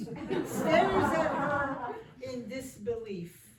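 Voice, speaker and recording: A woman speaks at a high pitch. Crowd noise fills the background. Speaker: narrator. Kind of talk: reader's theater narration.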